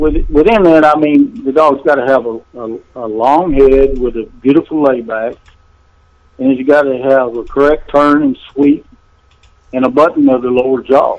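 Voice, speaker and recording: A fairly high-pitched man's voice in a Texan accent, with ordinary pitch variation. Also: moderate pace. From central Texas. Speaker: bulldog breeder. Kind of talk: interview. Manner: halting.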